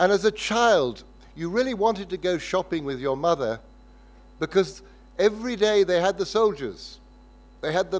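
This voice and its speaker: A man speaks in a southern English accent. His pitch is high, and his pace is moderate. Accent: English (southern, educated). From southern England (Windsor). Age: 70s. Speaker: lecturer. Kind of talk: lecture. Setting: lecture hall with audience.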